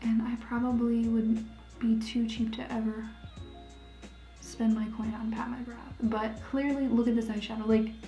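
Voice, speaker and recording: A woman's fairly high-pitched voice, fairly slow and in a monotone, flat intonation, with music in the background. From Ohio, USA. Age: 20s. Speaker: makeup tutorial creator. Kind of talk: casual talk to camera.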